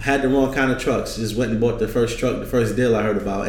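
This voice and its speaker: A man talks in a flat monotone with a New York accent. Noticeable background noise and audible room echo fill the recording. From New York, Brooklyn. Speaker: trucking business owner and consultant. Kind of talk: casual interview.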